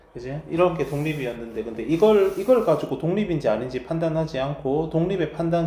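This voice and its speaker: Amid audible room echo, a man with a fairly high pitch talks at a moderate pace with very wide pitch swings. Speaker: math teacher. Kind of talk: lecture.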